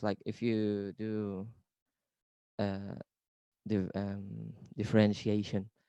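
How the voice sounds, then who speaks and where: With a non-native accent, a man speaks in a dark, mellow tone at a fairly low pitch, the sound dry and close with no echo. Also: quiet background. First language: not English. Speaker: creative coder presenting. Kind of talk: presentation. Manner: hesitant, many fillers.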